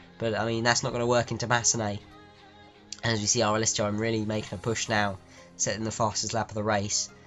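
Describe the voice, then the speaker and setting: With music in the background, the voice races at a very fast pace in monotone, flat intonation. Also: man, fairly low pitch for a man. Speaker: race commentator. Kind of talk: sim racing commentary.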